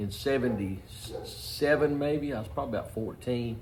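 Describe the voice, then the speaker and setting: With audible room echo and noticeable background noise, a man speaks at a moderate pace and medium pitch with lively intonation. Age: 60s. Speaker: car restorer. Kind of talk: casual shop talk for video. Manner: halting, many fillers.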